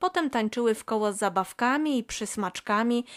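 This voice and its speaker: A woman's unremarkable speaking voice, fairly high in pitch with lively intonation, in a dry, close sound with no echo and a very clean recording over a silent background. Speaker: audiobook narrator. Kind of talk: bedtime story reading aloud. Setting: home recording. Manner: soft, gentle, slow storytelling.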